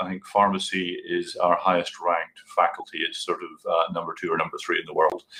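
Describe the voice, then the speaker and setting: Here a man talks in a Scottish accent. He keeps a moderate pace. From Scotland. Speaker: university staff presenter. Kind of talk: conference presentation.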